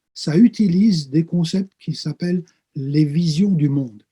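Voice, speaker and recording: Dry and close with no echo, a man's somewhat breathy voice has a dark, mellow tone and moves at a fairly slow pace. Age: 60s. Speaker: pastor and theology professor. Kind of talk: interview. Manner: hesitant with frequent fillers.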